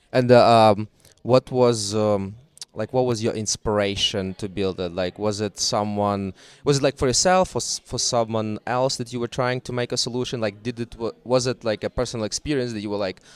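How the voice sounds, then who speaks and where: The speaker has a non-native accent and talks at a moderate pace with ordinary pitch variation. The recording is very clean, with a silent background, and the sound is dry and close with no echo. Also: man, medium pitch for a man. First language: not English. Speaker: podcast host. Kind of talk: casual interview.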